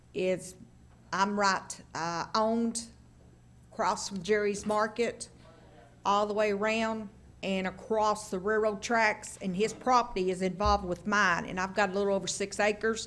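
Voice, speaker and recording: A woman speaks in an East Tennessee accent at a medium pitch. She keeps a moderate pace and a flat, monotone intonation. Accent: Southern US (East Tennessee). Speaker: local resident speaking at public hearing. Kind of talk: public hearing testimony. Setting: county commission meeting at podium.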